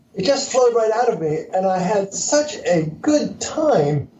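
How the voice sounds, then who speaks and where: A man with an American accent speaks at a fairly slow pace with very wide pitch swings amid noticeable background noise. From US Northeast (Pennsylvania). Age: 70s. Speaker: entrepreneur and author. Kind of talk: interview.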